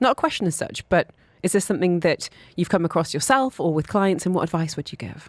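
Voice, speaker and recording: A woman talks at a very fast pace in a fairly low voice. The sound is dry and close, with no echo. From northern England, Newcastle. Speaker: radio host. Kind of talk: radio interview.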